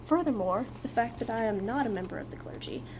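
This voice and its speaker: Noticeable background noise sits behind a woman talking at a fairly quick pace. Her pitch is fairly high, with lively intonation. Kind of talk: book reading. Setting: outdoors.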